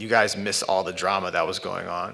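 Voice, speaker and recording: A man with a New York accent at a moderate pace. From New York, Brooklyn. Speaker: artist and filmmaker. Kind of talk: artist talk. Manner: halting.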